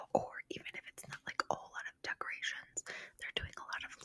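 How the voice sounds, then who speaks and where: Someone is whispering, recorded with a dry, close sound and no echo. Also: woman. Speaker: podcast host. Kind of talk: ASMR whispered ramble, casual talk to camera. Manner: whispery, rambling, soft.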